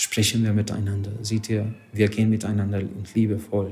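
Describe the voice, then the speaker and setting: With a Hungarian accent, this man talks at a moderate pace in a fairly low pitch, his tone dark and mellow and his intonation monotone and flat. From Hungary. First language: Hungarian (speaking German). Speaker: rabbi. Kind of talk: interview. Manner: halting.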